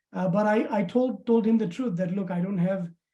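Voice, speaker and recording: A fairly quick pace with a non-native accent. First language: not English. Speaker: immigrant banking professional. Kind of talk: webinar testimony. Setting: webinar. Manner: halting, many fillers.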